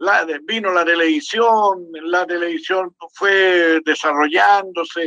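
Speaking at a very slow pace, a man holds a high pitch with fairly even intonation. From Chile, Santiago. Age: 80s+. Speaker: historian and academic. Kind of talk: casual chat. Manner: halting, many repetitions.

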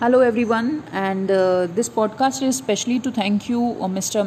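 At a moderate pace, a woman with an Indian accent speaks with ordinary pitch variation over noticeable background noise. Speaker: podcaster and exam aspirant. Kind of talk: casual monologue to listeners. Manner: hesitant, many fillers.

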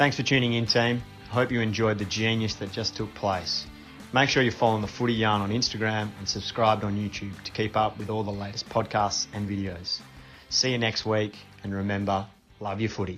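Music plays in the background as a man with an Australian accent talks at a fairly quick pace. His voice is fairly low, with fairly even intonation. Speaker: podcast co-host reading the outro.

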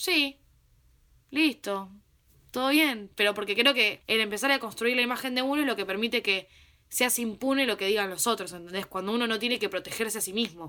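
Her fairly high voice has a bright, sharp tone and ordinary pitch variation. The woman speaks at a fairly quick pace in a very clean recording with a silent background. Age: 20s. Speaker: podcast host. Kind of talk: casual chat. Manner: animated.

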